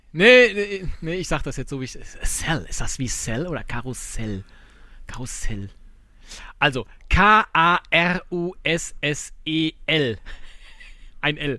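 With a Rhineland accent, a man speaks at a very slow pace, leaving long, frequent pauses. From Rhineland, Germany. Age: 40s. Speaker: podcaster, quiz contestant. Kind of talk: recorded game-show answers.

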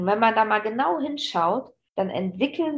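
A woman's fairly high, somewhat breathy voice with lively intonation at a fairly slow pace. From northern Germany, Bremen. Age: 40s. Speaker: aspiring business trainer. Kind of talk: podcast interview.

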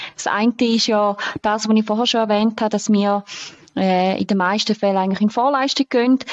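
Amid noticeable background noise, a woman with a fairly high pitch talks at a fairly quick pace in a monotone, flat intonation. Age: 20s. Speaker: deputy managing director. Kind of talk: podcast interview.

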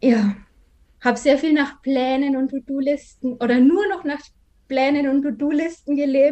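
This woman's voice sits high in pitch, with a dark, mellow tone, ordinary pitch variation and a moderate pace. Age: 30s. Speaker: virtual assistant, former quality assurance worker. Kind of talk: personal testimony.

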